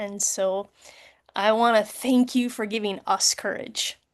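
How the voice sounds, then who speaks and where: In a normal speaking voice, a woman with a medium pitch talks with fairly even intonation. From US Midwest. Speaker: war veteran, event moderator. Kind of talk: panel moderation. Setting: video call.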